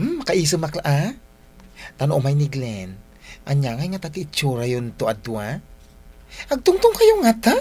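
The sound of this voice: Putting on a character voice, a woman with a low pitch, a slightly mellow tone and a slightly husky edge moves at a moderate pace through very wide pitch swings and long, frequent pauses.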